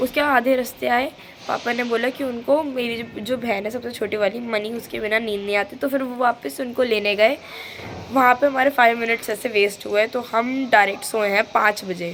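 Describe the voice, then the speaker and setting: Noticeable background noise accompanies a woman talking at a fairly slow pace with fairly high pitch and ordinary pitch variation. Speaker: vlogger. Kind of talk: casual vlog narration. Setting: balcony.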